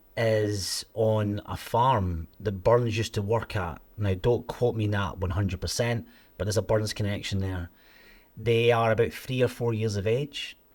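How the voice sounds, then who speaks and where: Speaking at a fairly slow pace, a man with a Scottish accent has a fairly low, somewhat breathy voice and fairly even intonation, on a very clean recording with a silent background. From Scotland, Ayrshire. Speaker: company CEO. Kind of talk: casual chat.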